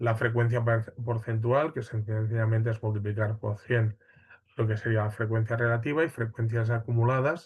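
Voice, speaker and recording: Against a quiet background, a somewhat breathy voice moves at a moderate pace with fairly even intonation. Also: man, medium pitch for a man. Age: 40s. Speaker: university lecturer. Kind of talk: lecture. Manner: hesitant, many fillers.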